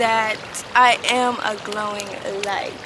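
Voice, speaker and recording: A woman speaks with fairly even intonation. There is audible room echo and noticeable background noise. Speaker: spiritual vlogger. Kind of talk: personal vlog monologue.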